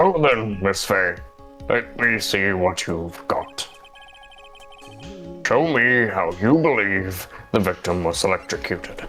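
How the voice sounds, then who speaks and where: Someone does a put-on character voice. Clear music plays in the background. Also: man, fairly low pitch for a man, fairly slow pace. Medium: game stream. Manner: formal, hesitant.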